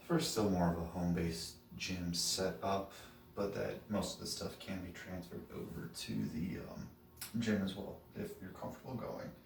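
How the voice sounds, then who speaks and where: A soft-spoken man talks at a very deep, low pitch and a moderate pace. His pitch varies in an ordinary way, with music in the background. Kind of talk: casual talk to camera. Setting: home gym.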